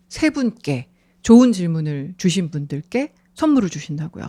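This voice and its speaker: A woman's fairly low, dark, mellow voice with lively intonation at a fairly slow pace, in a dry, close, very clean recording with no echo and a silent background. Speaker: radio announcer and host. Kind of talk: live radio talk show. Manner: lively, bubbly.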